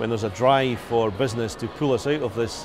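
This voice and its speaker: Over music in the background, a man with a Scottish accent speaks fairly quickly at a medium pitch with fairly even intonation. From Scotland. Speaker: business executive. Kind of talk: business interview.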